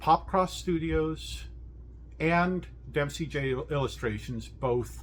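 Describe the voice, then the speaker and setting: Audible room echo follows the man as he talks. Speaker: webcomic artist and video creator. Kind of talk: casual unscripted voiceover. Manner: halting, stumbling over words; informal and rambling.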